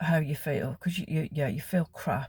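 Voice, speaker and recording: Somewhat breathy, a woman with a very deep, low pitch speaks at a moderate pace. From West Midlands, England (Wolverhampton area). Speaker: vlogger. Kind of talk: casual chat.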